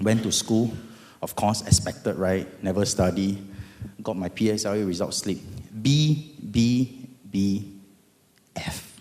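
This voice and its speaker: A man with a Singaporean accent speaks in a dark, mellow tone. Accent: Singaporean English (Singlish). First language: Hokkien. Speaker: lawyer. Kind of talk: testimony. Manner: animated.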